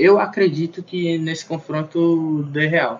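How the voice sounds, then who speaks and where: A man's fairly high-pitched, monotone voice with flat intonation at a fairly slow pace. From Brazil, Fortaleza (Ceará). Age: 20s. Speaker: computer science student. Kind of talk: casual chat.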